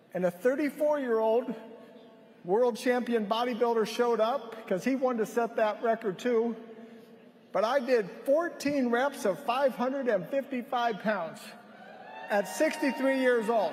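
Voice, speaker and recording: Noticeable background noise sits behind an extremely high-pitched man with an animated tone. He speaks at a fairly slow pace, his loudness very even. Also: ordinary pitch variation. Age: 60s. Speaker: health product speaker at a conference. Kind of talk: stage speech. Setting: stage with audience.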